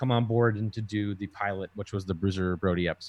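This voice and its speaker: A man with an unremarkable speaking voice talks at a fairly quick pace with ordinary pitch variation. The recording is very clean, with a silent background. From Minnesota, US. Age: 30s. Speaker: TV documentary producer. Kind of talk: casual interview chat.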